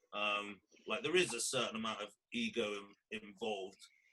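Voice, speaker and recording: A man speaks with a Welsh accent. His tone is bright and sharp. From Wales. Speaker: podcast host. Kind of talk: casual chat.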